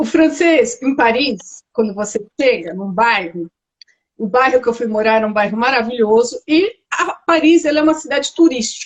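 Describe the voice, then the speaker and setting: A woman at a high pitch with lively intonation. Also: moderate pace. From Brazil. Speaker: architect living abroad. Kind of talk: interview.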